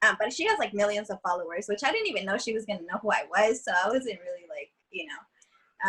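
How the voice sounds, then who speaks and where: A fairly quick, lively delivery in a Californian accent. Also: woman. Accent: California. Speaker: social media content creator. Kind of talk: casual chat. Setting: podcast recording. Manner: halting, many fillers.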